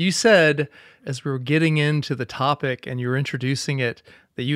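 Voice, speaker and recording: Recorded with a dry, close sound and no echo, a man has a plain, everyday voice, fairly high in pitch, with ordinary pitch variation and a fairly quick pace. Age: middle-aged. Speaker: podcast co-host. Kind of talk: casual interview. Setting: video call.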